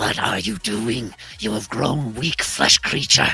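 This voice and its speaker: A man puts on a character voice that is raspy and hissing. His pitch sits at a medium level and his pace is fairly slow. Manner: menacing.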